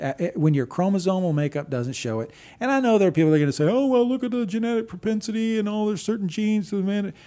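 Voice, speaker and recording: A man's dark, mellow voice with an American accent and very wide pitch swings. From Texas. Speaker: marketing agency owner. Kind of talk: casual interview.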